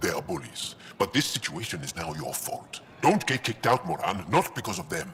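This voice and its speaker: At a fairly quick pace, a man puts on a character voice of medium pitch against clear background noise. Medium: video game.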